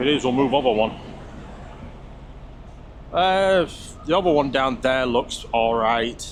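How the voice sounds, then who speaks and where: A man with a British accent talks at a fairly slow pace with ordinary pitch variation. His loudness stays very even, and long pauses come often. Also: medium pitch for a man. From UK. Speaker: truck driver. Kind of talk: casual talk to camera.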